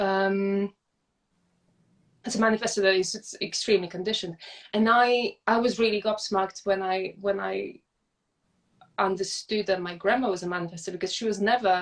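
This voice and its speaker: A woman with a non-native accent at a medium pitch, moderate pace, fairly even intonation and long, frequent pauses. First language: not English. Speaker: podcast guest. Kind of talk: casual chat. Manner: halting, with frequent repetitions.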